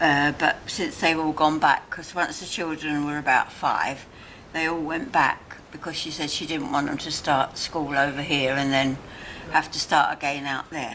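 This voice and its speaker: With a London accent, a woman speaks at a very deep, low pitch in a monotone, flat intonation. Her pace is moderate, and there is noticeable background noise. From Barnes, London, England. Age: 90s. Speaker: elderly resident. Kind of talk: casual chat. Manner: halting.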